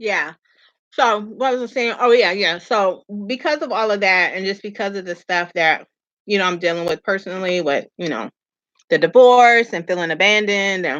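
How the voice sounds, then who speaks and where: A woman speaks at a moderate pace with ordinary pitch variation and a medium pitch. Hers is an unremarkable speaking voice against a quiet background. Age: 40s. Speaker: vlogger. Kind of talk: casual chat. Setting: livestream.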